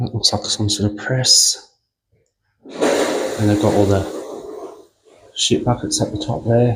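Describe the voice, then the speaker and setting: A soft-spoken man talks at a very slow pace. He leaves long, frequent pauses. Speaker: walking tour vlogger. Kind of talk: casual walking vlog commentary. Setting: indoors in a quiet prison museum. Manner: soft-spoken, quiet.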